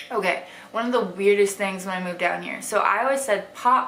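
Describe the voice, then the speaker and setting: A woman speaks at a medium pitch in an American accent. Noticeable background noise and audible room echo are present. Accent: Wisconsin accent, weakened. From Wisconsin, US Midwest (small town near Madison). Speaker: lifestyle vlogger. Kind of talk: casual vlog talk to camera. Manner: chatty, filler-heavy.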